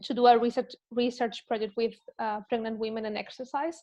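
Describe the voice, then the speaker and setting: Speaking at a fairly quick pace, a woman with a Spanish accent has a fairly high pitch. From Spain. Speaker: health and wellbeing coach and researcher. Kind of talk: casual interview chat. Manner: halting, with fillers.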